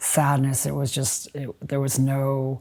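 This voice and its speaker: A woman's dark, mellow voice, very deep and low in pitch, with an American accent. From US Midwest, Chicago. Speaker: writer. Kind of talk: interview. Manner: halting, many fillers.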